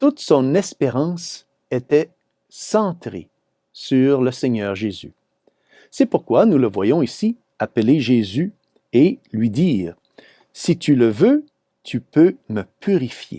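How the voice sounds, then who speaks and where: Through a dry, close sound with no echo, a man at medium pitch speaks very slowly with long, frequent pauses and very wide pitch swings. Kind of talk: Gospel commentary / homily.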